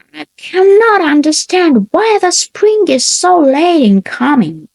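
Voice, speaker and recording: Gruff and put-on, this woman's character voice sits at an extremely high pitch and moves at a fairly slow pace. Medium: read story.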